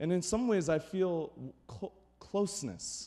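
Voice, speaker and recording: A man speaks loudly in an animated tone. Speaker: pastor. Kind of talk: sermon.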